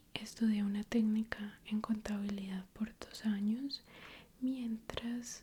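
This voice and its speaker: Soft-spoken, very slow speech with a gentle tone and monotone, flat intonation. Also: woman. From Colombia. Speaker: ASMR YouTuber. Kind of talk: ASMR story time, casual talk to camera. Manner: soft-spoken, slow, gentle.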